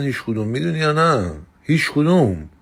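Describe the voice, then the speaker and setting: A man with a Mazandarani accent, fairly quick, with very wide pitch swings and audible room echo. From Mazandaran, northern Iran. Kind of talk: casual monologue. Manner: animated.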